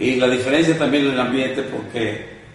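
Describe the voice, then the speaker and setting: A man speaks at a medium pitch and a fairly quick pace with fairly even intonation, over noticeable background noise and audible room echo. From Michoacán, Mexico. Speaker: gamecock breeder and event promoter. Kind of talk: interview.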